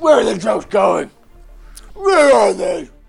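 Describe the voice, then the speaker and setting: A put-on character voice at a fairly slow pace over faint background music. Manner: shouting, demanding.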